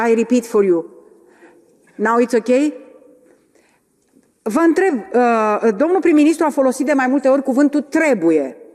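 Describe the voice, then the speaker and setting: The voice carries lively intonation and very even loudness, broken by long, frequent pauses. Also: woman, high pitch for a woman, fairly slow pace. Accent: Romanian. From Romania. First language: Romanian (speaking Finnish). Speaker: politician. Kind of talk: parliamentary debate question.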